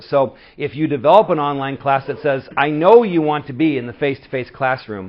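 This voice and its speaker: An animated man at a fairly quick pace, with ordinary pitch variation. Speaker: community college instructor. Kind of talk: conference presentation. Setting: stage with audience. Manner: fast.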